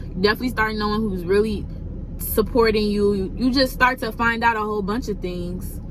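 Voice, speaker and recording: A woman's fairly high-pitched voice amid audible room echo and noticeable background noise. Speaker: vlogger. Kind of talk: casual vlog. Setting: in a car.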